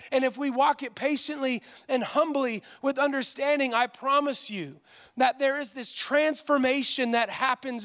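A man speaks at an extremely high pitch with a bright, sharp tone. His pace is moderate. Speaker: pastor. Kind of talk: sermon. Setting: church with live audience.

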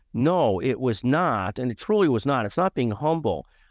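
A man with an ordinary speaking voice and an American accent talks at medium pitch with lively intonation, in a quiet background. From US Midwest, Chicago area (Skokie, Illinois). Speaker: healthcare lawyer and media founder. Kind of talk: interview.

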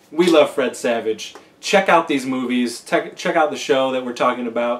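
A man talks at a moderate pace, with noticeable background noise beneath his voice. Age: 40s. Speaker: podcast host. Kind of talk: casual chat.

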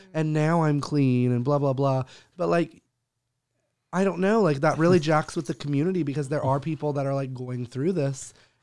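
A man with an ordinary speaking voice talks at a fairly high pitch with ordinary pitch variation. His pace is moderate, and the recording is very clean with a silent background. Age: 20s. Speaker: podcast co-host. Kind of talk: casual chat.

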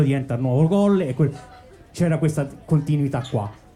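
Speaking at a fairly quick pace, a man uses a plain, everyday voice with lively intonation and a fairly high pitch. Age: 40s. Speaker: DJ. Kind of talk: interview on live podcast. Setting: boat with live audience.

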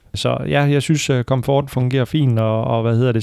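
The man's voice is dark and mellow at a medium pitch, with fairly even intonation, a moderate pace, and a dry, close sound with no echo. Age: 30s. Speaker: used car salesman. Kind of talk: casual chat. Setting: car dealership. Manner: hesitant, many fillers.

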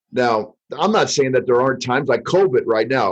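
A man talks in a normal speaking voice. His medium pitch shifts in an ordinary way. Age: 50s. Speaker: financial advisor. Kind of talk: podcast interview.

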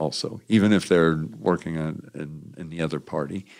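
With ordinary pitch variation, a man keeps his delivery at a moderate speed. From US Midwest, Indiana. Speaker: former congressman, political organizer. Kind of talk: long-form interview. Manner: hesitant, with fillers and repetitions.

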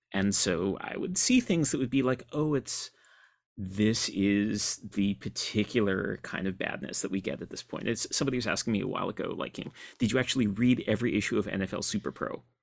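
This is an unremarkable speaking voice from a man pitched fairly low. He talks at a fairly quick pace with ordinary pitch variation. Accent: American. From upstate New York. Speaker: comics writer and critic. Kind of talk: interview.

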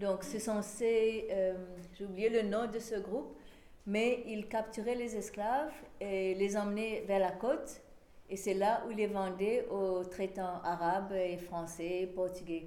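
In an English accent, a woman speaks at a very slow pace with ordinary pitch variation, and audible room echo surrounds her. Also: medium pitch for a woman. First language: English (speaking French). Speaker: historian. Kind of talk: lecture. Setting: small venue with live audience. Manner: halting.

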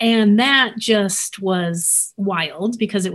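The voice is somewhat breathy. Its pitch varies by an ordinary amount. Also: woman. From New Mexico (Albuquerque). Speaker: former professor turned artist. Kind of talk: interview testimony. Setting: video call.

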